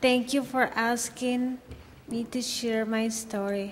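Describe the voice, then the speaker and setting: A woman with a Spanish accent speaks very slowly in a high voice with fairly even intonation. Noticeable background noise sits behind her. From Mexico, near Guadalajara. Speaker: domestic violence survivor. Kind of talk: testimony.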